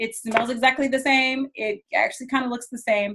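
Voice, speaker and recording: This woman has a high pitch and speaks at a fairly quick pace. Her intonation stays fairly even. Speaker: direct sales trainer. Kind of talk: product training. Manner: fast.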